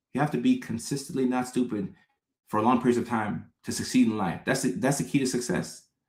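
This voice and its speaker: A man's medium-pitched voice with vocal fry at a fairly quick pace. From Texas. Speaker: psychologist and live-stream host. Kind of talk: live stream chat reading viewer comments. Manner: fast-talking; casual, slangy.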